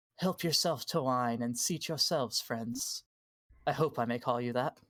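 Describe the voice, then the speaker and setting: A raspy, put-on character voice from a man at medium pitch and a moderate pace. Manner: welcoming, courteous.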